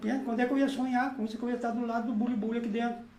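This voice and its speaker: Both audible room echo and noticeable background noise are present in the clip. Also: man. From southern Brazil (Rio Grande do Sul). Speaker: poet and music teacher. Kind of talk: casual chat.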